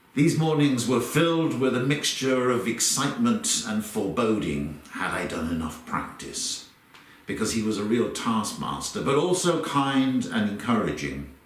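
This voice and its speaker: At a moderate pace and medium pitch, a man with a southern English accent speaks with very wide pitch swings, along with audible room echo and noticeable background noise. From London, England. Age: 60s. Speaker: conductor. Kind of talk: personal reminiscence.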